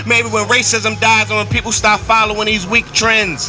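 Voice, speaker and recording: There is music in the background while a man talks at a moderate pace. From Baltimore. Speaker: spoken word artist. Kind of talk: live spoken word poetry performance. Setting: outdoors.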